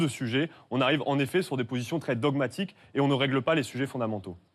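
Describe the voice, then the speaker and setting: The speech comes at a very fast pace with ordinary pitch variation, in a very clean recording with a silent background. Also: man. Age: 20s. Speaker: politician, party list leader. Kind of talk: televised political debate.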